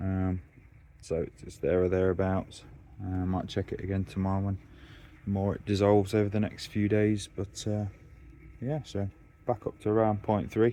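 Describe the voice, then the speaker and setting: A man's fairly low voice, dark and mellow, relaxed in tone, with a strong Derbyshire accent, at a moderate pace with fairly even intonation and long, frequent pauses. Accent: thick Derbyshire. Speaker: koi keeper vlogger. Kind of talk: casual vlog narration. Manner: relaxed, halting with fillers.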